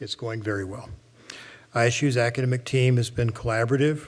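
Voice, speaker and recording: Speaking at a fairly quick pace with an American accent, a man uses a medium pitch and fairly even intonation in a somewhat breathy voice. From Oklahoma. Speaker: college president. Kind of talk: formal presentation to board. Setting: public board meeting.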